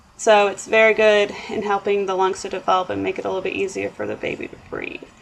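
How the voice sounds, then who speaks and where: Speaking at a very fast pace over noticeable background noise, a woman uses a fairly high pitch. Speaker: nursing student. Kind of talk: recorded class presentation.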